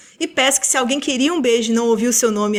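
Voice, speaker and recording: A woman talks at a very fast pace in a fairly high pitch. Noticeable background noise sits behind her. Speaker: podcast co-host. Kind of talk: casual chat.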